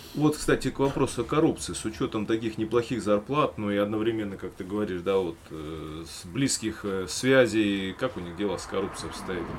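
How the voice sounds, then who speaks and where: A man with a fairly low pitch and ordinary pitch variation speaks at a fairly quick pace with hardly any pauses and big swings in loudness, over noticeable background noise. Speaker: podcast host, former police officer. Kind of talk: casual chat.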